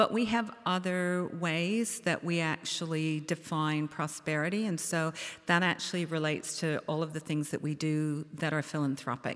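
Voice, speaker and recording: A woman's very deep, low voice at a moderate pace, with hardly any pauses and ordinary pitch variation, on a very clean recording with a silent background. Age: 60s. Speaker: beverage company co-founder. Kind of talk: panel discussion. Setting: stage with audience.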